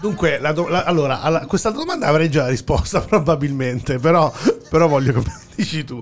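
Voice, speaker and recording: With music in the background, the speaker goes at a fairly quick pace with ordinary pitch variation. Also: man. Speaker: radio podcast host. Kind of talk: casual interview. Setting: studio. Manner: halting, many fillers and repetitions.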